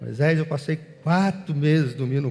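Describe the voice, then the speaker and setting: A man with a plain, everyday voice talks fairly high in pitch, with ordinary pitch variation. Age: 40s. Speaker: pastor. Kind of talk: sermon.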